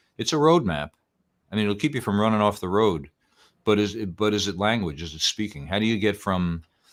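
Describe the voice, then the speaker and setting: A man with a Bronx accent speaks at a fairly low pitch with lively intonation, on a very clean recording with a silent background. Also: fairly quick pace. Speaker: old-time fiddle and banjo musician and teacher. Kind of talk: casual interview chat. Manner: halting, with repetitions.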